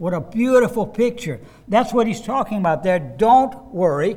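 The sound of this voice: A man speaks at a moderate pace. His intonation is lively.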